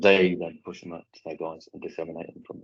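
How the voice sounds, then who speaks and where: This man has an English accent. His pitch is very deep and low. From England. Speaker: munitions clearance specialist. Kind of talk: conference presentation and Q&A. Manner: fast.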